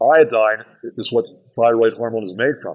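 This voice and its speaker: A man with a plain, everyday voice, moderate in pace, with ordinary pitch variation. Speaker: doctor. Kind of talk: health lecture.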